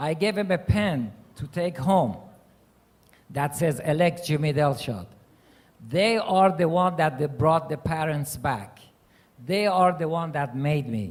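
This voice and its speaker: Fairly slow speech in a Persian accent, with ordinary pitch variation and long, frequent pauses. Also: man, fairly high pitch for a man. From Iran. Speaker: mayor and panelist. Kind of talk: panel remarks.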